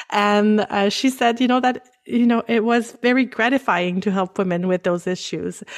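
A woman speaks at a fairly high pitch and a moderate pace with ordinary pitch variation. Her loudness is very even, and there are hardly any pauses. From Canada, French-speaking. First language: French. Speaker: pelvic floor physical therapist. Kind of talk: casual interview, explaining.

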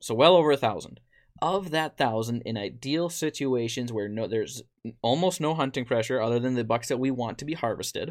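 In a very clean recording with a silent background, a man speaks at a moderate pace with an American accent. He has an ordinary speaking voice, medium pitch and lively intonation. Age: 20s. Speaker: podcast host, deer farmer. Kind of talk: casual chat. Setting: studio with video.

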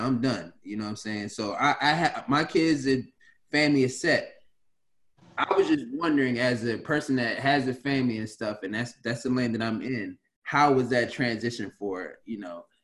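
A man with an American accent has a normal speaking voice at medium pitch and a moderate pace. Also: ordinary pitch variation. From Washington DC area. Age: 30s. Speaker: podcast host, former basketball player. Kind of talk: casual chat.

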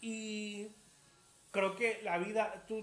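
A man's voice over noticeable background noise. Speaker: podcast host. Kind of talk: casual interview.

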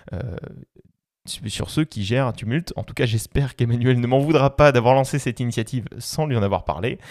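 Speaking at a fairly quick pace and medium pitch, a man has an animated tone and lively intonation on a very clean recording with a silent background, dry and close with no echo. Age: 20s. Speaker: podcast host. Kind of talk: casual interactive podcast talk.

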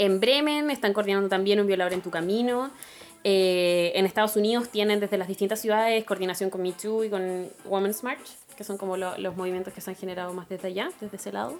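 A woman's fairly quick speech in a Chilean accent. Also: medium pitch for a woman, ordinary pitch variation. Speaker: activist. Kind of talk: casual chat.

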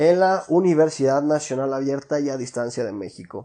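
In a Mexican accent, the voice has a dark, mellow tone and ordinary pitch variation. It moves at a moderate pace over a quiet background. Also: man. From Mexico, La Piedad, Michoacán. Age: 20s. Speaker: podcast host. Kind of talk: casual monologue. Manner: casual, slangy.

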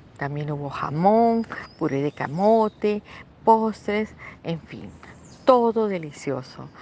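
Very slowly and with long, frequent pauses, a woman speaks at medium pitch in a dark, mellow tone, with very wide pitch swings and big swings in loudness. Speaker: grandmother. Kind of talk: reading aloud.

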